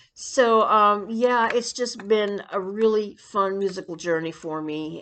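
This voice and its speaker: A woman's very slow speech shows ordinary pitch variation. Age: 60s. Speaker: YouTuber and amateur singer. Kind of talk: casual vlog monologue. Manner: hesitant, many fillers.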